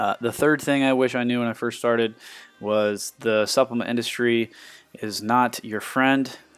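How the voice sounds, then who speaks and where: A man talks over music in the background. His intonation is monotone and flat. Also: medium pitch for a man, moderate pace. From US Midwest, Ohio. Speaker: fitness coach. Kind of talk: podcast monologue.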